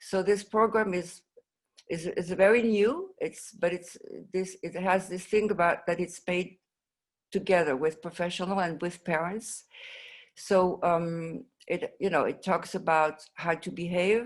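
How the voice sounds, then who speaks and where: A woman with a French accent talks at a fairly slow pace in a medium pitch, her intonation fairly even. The recording is very clean, with a silent background. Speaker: mental health advocate, parent of patient. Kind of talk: conference presentation. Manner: halting, many fillers and restarts.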